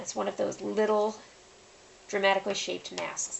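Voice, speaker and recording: Background noise is clearly audible as a woman talks at a moderate speed. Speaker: face painting artist and tutorial host. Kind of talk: tutorial. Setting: home, late at night. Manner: soft-spoken, quiet.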